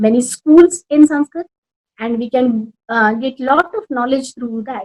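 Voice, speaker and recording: With a dry, close sound and no echo, a woman in a Rajasthani accent speaks at a high pitch with ordinary pitch variation. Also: big swings in loudness. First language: Marwari. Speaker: Sanskrit teacher and language academy founder. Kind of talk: interview. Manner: halting.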